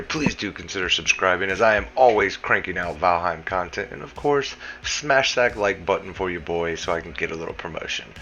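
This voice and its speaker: Clearly audible background noise behind a man's fairly quick speech in an American accent. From US South. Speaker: gaming YouTuber. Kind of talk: tutorial. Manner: casual.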